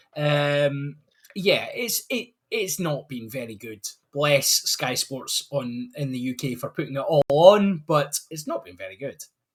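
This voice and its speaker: A man with a Scottish accent talks with big swings in loudness. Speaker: rugby fan. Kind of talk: casual chat.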